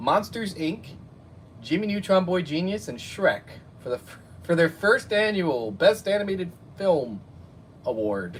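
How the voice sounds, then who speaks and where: Speaking slowly with an American accent, a man uses a high pitch and very wide pitch swings. He leaves long, frequent pauses. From New Jersey. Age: 30s. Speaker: YouTube cartoon reviewer. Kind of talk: casual live stream chat. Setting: live stream at home. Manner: animated.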